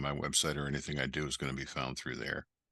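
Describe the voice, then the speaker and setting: With an American accent, a man with a very deep, low voice talks very fast in a bright, sharp tone, the sound dry and close with no echo. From Western New York. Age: 60s. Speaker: ecommerce educator and entrepreneur. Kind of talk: podcast interview.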